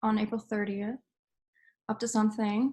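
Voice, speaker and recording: Somewhat breathy and fairly high-pitched, a woman speaks in a flat monotone on a very clean recording with a silent background. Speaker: student presenter. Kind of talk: class presentation. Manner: fast.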